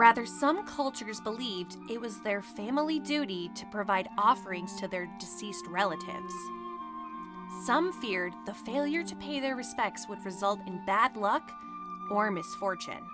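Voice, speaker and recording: Over music in the background, a woman speaks at a medium pitch and a moderate pace. Her intonation is lively, with big swings in loudness. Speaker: voiceover narrator. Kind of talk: documentary narration.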